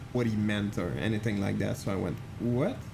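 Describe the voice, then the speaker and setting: Audible room echo surrounds a man with a Quebec accent who speaks at medium pitch and a moderate pace. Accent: French Canadian accent in English. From Quebec, French Canadian. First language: French. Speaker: flight sim streamer. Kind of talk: live stream chat. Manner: casual, halting with many fillers.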